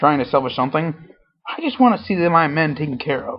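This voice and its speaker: A put-on character voice, female-sounding and middle in pitch, at a very fast pace. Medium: read story.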